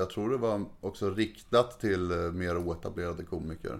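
A man's normal speaking voice at a moderate pace with fairly even intonation. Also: very clean recording, silent background. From Sweden, Märsta (Stockholm region). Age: 30s. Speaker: comedian. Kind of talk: casual chat.

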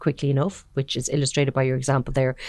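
A woman with an Irish accent against a quiet background. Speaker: podcast host, managing editor. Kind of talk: interview.

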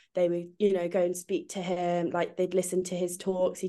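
A woman speaks with an English accent. Her tone is dark and mellow. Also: quiet background. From England. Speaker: magazine writer and editor. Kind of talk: casual chat.

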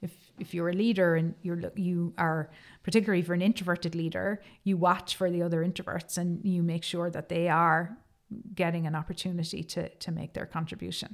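Speaking fairly quickly with a Cork accent, a woman keeps a fairly low pitch and monotone, flat intonation on a very clean recording with a silent background. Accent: Cork Irish. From Ireland, Cork. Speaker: tech company executive. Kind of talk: interview.

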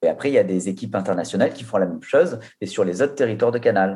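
Speaking at a very fast pace, the man has a medium pitch, ordinary pitch variation and a dark, mellow tone. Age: 30s. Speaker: digital content manager. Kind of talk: work meeting conversation.

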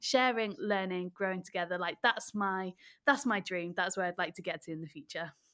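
In a Welsh accent, a woman speaks with lively intonation in a very clean recording with a silent background, the sound dry and close with no echo. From rural Wales. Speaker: children's TV presenter and theatre director. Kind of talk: casual interview. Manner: animated.

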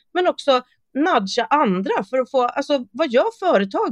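Very wide pitch swings in a woman's speech, dry and close with no echo. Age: 40s. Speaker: sustainability consultant and influencer. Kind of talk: casual interview.

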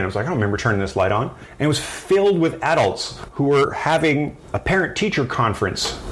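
A man with a Canadian accent at a very fast pace, his somewhat breathy, fairly high voice showing very wide pitch swings amid audible room echo. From rural midwestern Ontario, Canada. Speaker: wood horn maker. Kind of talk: interview. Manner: halting.

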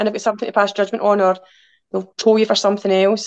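Talking very fast in a Glaswegian accent, a woman keeps a medium pitch and fairly even intonation. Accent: Glaswegian Scottish. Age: 40s. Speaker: outdoor adventurer and swim group organiser. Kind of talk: casual chat.

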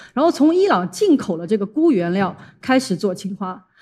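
At a fairly quick pace, a woman speaks in a somewhat breathy, dark and mellow tone with very wide pitch swings. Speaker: international journalist and speaker. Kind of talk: talk to an audience. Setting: stage with audience.

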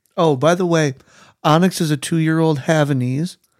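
A man's unremarkable speaking voice, fairly high in pitch, at a moderate pace in a very clean recording with a silent background. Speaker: co-host. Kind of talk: casual chat. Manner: excitable, interrupting.

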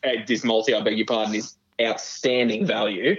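This is a man speaking. He has a strong Australian accent. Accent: broad Australian. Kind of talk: casual betting chat. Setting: remote headphone link.

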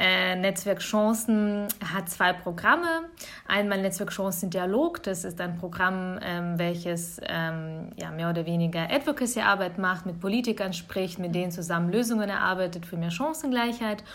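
At a moderate pace, a woman talks in an unremarkable speaking voice with a medium pitch. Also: ordinary pitch variation. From Bavaria (Augsburg), Germany; born in Kyiv, Ukraine. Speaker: nonprofit network representative. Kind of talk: podcast interview.

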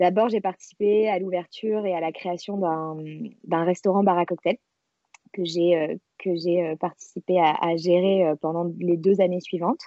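The woman's voice is fairly low in pitch, and her intonation stays fairly even. She talks very slowly. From France, Marseille. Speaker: self-knowledge coach. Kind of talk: casual interview.

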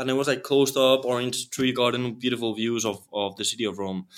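On a very clean recording with a silent background, a man with a non-native accent talks with ordinary pitch variation. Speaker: actor and entrepreneur. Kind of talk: interview. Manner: halting, many fillers and repetitions.

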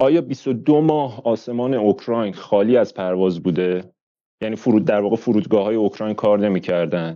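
A man with an unremarkable speaking voice, fairly low in pitch, lively in intonation, at a fairly quick pace. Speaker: audience participant. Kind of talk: heated debate.

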